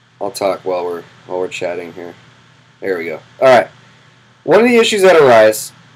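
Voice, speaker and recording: A man's medium-pitched voice with noticeable background noise. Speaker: gym owner and fitness vlogger. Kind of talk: casual vlog talk to camera. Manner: casual, with fillers.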